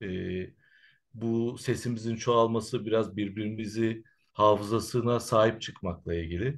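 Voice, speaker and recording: A man talks at a medium pitch against a quiet background. His pace is fairly slow and his intonation fairly even. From Turkey, Izmir (from age 5, born in Central Anatolia). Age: 40s. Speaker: Roma researcher and activist. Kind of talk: interview. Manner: hesitant, many filler sounds.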